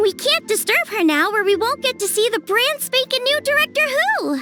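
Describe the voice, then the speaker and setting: Over clear music in the background, a put-on character voice speaks at an extremely high pitch. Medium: video game.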